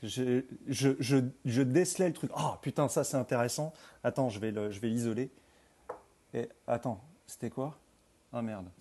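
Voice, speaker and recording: At a fairly slow pace with long, frequent pauses, a man speaks at a medium pitch in a dark, mellow tone with ordinary pitch variation. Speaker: screenwriter and university teacher. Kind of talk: casual chat. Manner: halting.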